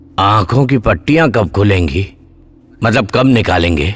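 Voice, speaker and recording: A man's put-on character voice, fairly low in pitch, with lively intonation at a moderate pace. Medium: fan dub.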